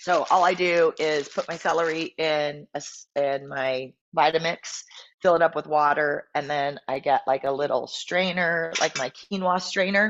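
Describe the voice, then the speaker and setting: A woman talks in a plain, everyday voice. Her intonation stays fairly even. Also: fairly low pitch for a woman, fairly slow pace. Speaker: fitness coach. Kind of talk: live stream talk. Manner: casual, many filler ums.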